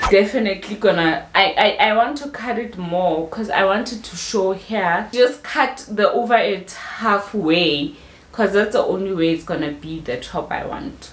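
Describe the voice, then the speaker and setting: The speaker uses lively intonation at a fairly slow pace, with noticeable background noise and audible room echo. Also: woman. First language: not English. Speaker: fashion YouTuber. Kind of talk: tutorial. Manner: casual, chatty.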